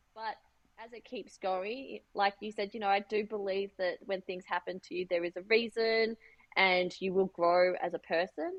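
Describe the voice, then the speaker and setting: A woman's medium-pitched voice with an Australian accent at a moderate pace. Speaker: fashion designer and business owner. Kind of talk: interview.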